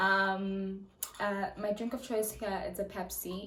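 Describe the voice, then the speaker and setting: There is audible room echo around the voice. A woman speaks at a medium pitch. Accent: South African. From South Africa, the Vaal (Gauteng). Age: 20s. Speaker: YouTuber. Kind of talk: casual chat. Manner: hesitant, many fillers.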